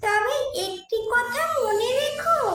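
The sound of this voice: Squeaky, extremely high-pitched cartoonish character voice with a slight echo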